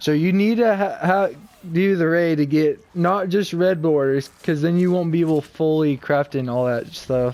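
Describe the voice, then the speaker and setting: A man mumbles at a moderate pace. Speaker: video game streamer. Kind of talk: gameplay tutorial commentary. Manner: mumbling; quiet.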